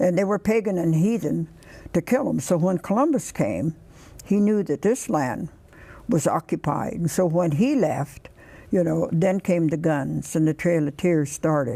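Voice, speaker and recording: This woman speaks at a moderate pace in a fairly low pitch, her dark, mellow tone edged with vocal fry and her loudness very even. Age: old. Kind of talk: interview answer.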